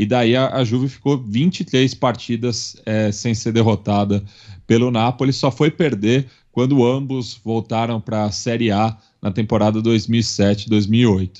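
Intonation stays fairly even as the talking goes at a fairly slow pace. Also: man, medium pitch for a man. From Brazil, São Paulo. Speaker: podcast network representative and football commentator. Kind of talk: casual chat. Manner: halting, with frequent fillers.

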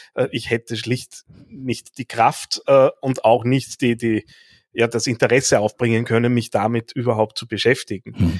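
A man's medium-pitched voice at a fairly slow pace, fairly even in intonation, with a dry, close sound and no echo. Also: very clean recording, silent background. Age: 40s. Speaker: podcast host and coach. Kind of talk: interview conversation. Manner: hesitant with fillers and repetitions.

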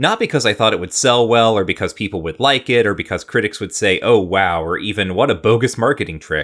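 With a plain, everyday voice, a man of fairly low pitch speaks at a fairly quick pace. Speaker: podcast host. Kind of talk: casual chat, podcast discussion.

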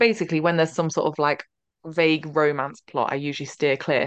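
A woman's fairly low voice, dry and close with no echo. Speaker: podcast host.

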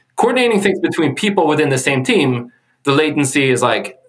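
The speaker has a Swedish accent. Their pitch swings very widely. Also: man. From Sweden. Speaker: tech executive, data engineer. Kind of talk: interview. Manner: halting.

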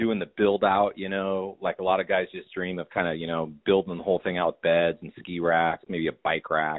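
Very deep and low, a man's voice comes through. He talks at a moderate pace. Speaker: guest talking about ski van. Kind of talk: casual chat.

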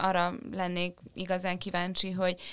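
The background is silent on a very clean recording. A woman does the talking. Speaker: podcast co-host. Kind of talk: casual interview.

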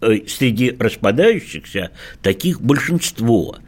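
The man's voice is pitched in the middle range. His intonation rises and falls in a lively way. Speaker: sexologist. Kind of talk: radio talk show discussion. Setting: studio.

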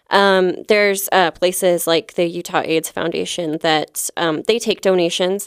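A woman's medium-pitched voice at a fairly slow pace, with hardly any pauses and fairly even intonation, in a dry, close sound with no echo and a very clean recording with a silent background. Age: 30s. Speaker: comedian. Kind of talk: casual chat. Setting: studio. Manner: halting.

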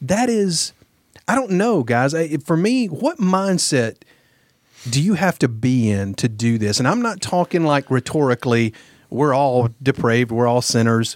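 A man with a Southern US accent talks at a fairly high pitch, with very wide pitch swings and very even loudness. The sound is dry and close, with no echo. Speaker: guest co-host. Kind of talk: casual chat.

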